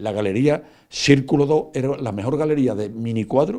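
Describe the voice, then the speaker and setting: A man with a medium-pitched voice talks at a fairly quick pace, his pitch varying in an ordinary way. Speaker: painter. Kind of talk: interview. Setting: at home. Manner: fast; halting, many repetitions and fillers.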